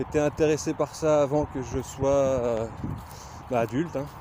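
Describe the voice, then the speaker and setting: A man speaks with a Lorraine accent. Noticeable background noise sits behind him. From Lorraine, France. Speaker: glassblower. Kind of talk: casual vlog self-introduction. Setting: outdoors on a nature walk. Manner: hesitant, many filler sounds.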